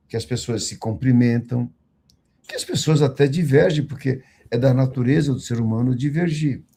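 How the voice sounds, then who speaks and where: This man's voice sits at a medium pitch, dark and mellow in tone and somewhat breathy. He keeps a moderate pace with fairly even intonation. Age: 60s. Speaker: condominium management executive. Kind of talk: online panel discussion. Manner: formal.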